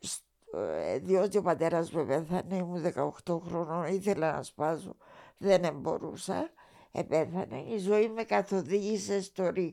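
Very slowly, a woman speaks with lively intonation in a fairly low, dark and mellow voice with vocal fry. The recording is very clean, with a silent background. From Cyprus. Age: 80s+. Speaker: retired TV writer and director. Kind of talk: interview.

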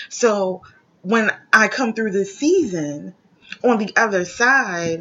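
Noticeable background noise sits behind a woman speaking at a medium pitch with ordinary pitch variation. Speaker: podcast host. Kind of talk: motivational talk. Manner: sometimes stutters.

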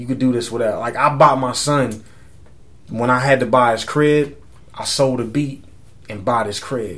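A man with a San Antonio accent speaks at a moderate pace in a medium pitch. His intonation is fairly even, and he leaves long, frequent pauses. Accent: Texan, San Antonio. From San Antonio, Texas. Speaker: musician. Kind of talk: casual interview chat.

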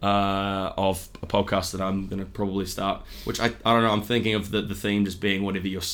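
The speaker talks at a very fast pace with a New Zealand accent. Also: man. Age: 20s. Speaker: comedian. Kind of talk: casual chat.

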